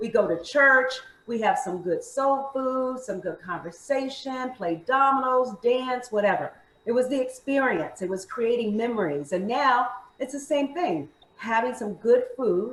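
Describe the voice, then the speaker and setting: A woman talks with an American accent at a fairly slow pace. Her high-pitched voice has lively intonation. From Maryland. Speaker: fitness instructor and food entrepreneur. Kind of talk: interview.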